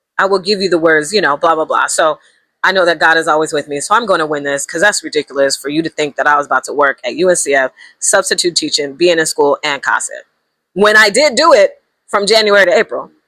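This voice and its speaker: Very fast speech with lively intonation and a bright, sharp tone in a dry, close sound with no echo. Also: woman, fairly low pitch for a woman. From US Pacific Northwest, Seattle. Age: 40s. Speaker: vlogger. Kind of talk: casual vlog chat.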